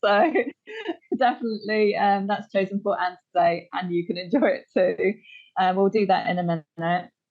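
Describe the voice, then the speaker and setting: A woman's plain, everyday voice, medium in pitch, with ordinary pitch variation and a moderate pace. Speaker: Pilates teacher and podcast host. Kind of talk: podcast interview talk.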